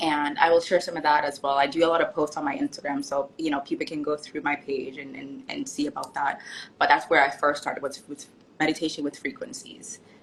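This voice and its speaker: With an American accent, a woman speaks in a very deep, low voice, monotone and flat, her loudness swinging widely over noticeable background noise. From Jamaica, Kingston. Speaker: author and nurse. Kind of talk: casual interview. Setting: live stream.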